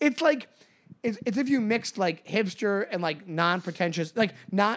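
A man talks at a fairly quick pace in a high-pitched voice. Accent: New York. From Long Island, New York. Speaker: podcast co-host, comedian. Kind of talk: casual chat. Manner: fast talker.

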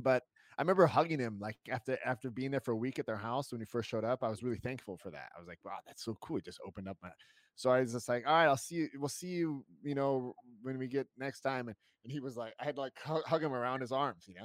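A man at a very fast pace, with ordinary pitch variation and big swings in loudness. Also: medium pitch for a man. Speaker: podcast host appearing as guest. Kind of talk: casual chat.

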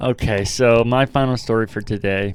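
With ordinary pitch variation, the speaker uses a plain, everyday voice. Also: man. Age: 30s. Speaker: podcast co-host. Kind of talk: casual chat.

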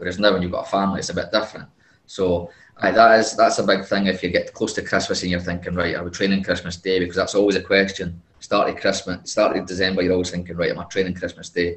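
A man with a Scottish accent, very deep and low, very fast, flat and monotone, somewhat breathy. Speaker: football player. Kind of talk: casual interview answers.

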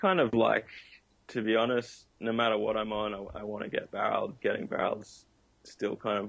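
In an Australian accent, a man talks at a medium speed. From Australia, Noosa. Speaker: pro surfer and kite surfer. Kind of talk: interview.

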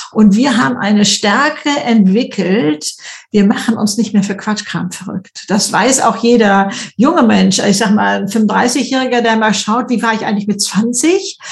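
A woman at a fairly slow pace, ordinary pitch variation, noticeable background noise. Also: fairly high pitch for a woman. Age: 70s. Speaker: YouTuber and author. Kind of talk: interview. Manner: hesitant fillers.

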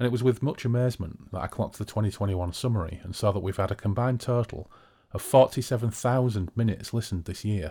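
A somewhat breathy man with a British accent, fairly low in pitch, with ordinary pitch variation. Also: fairly quick pace. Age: 40s. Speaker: podcast host. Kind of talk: casual chat over drinks. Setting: video call, recorded remotely. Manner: chatty, humorous.

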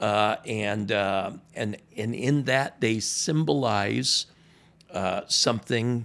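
A man with an American accent speaks at a very slow pace, his fairly low pitch showing ordinary variation. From US South, Miami. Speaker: pastor. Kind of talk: casual chat. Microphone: new microphone.

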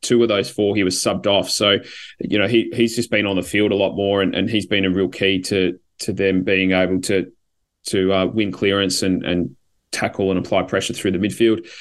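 A man with an Australian accent speaks at a fairly quick pace and fairly low pitch. His intonation is monotone and flat, over a quiet background. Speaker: podcast host and football fan. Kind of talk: casual chat. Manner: hesitant, filler words.

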